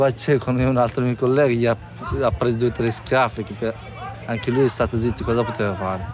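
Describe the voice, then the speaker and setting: Music plays behind a man who speaks at a moderate pace in a medium pitch. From northeastern Afghanistan, Badakhshan. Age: 20s. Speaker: refugee, former army officer. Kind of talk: testimony. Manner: halting, non-native phrasing.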